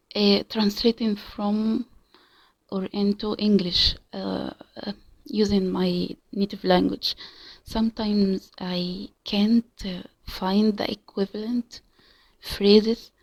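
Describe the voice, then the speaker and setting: A woman with an Arabic accent, medium in pitch, monotone and flat, at a very slow pace with long, frequent pauses, in a dry, close sound with no echo. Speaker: language learner vlogger. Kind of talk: casual monologue. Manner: halting, many fillers and repetitions.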